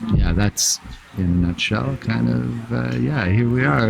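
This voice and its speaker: A man with a Canadian accent at a fairly slow pace, music in the background. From Canada. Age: 60s. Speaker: traveler. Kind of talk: casual chat. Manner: halting, many fillers.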